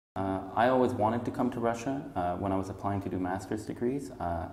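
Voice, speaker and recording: Amid audible room echo, a man with a very deep, low pitch talks very fast, using ordinary pitch variation. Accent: Canadian. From Montreal, Canada. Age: 30s. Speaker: English teacher. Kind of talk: job interview. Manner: hesitant, many fillers.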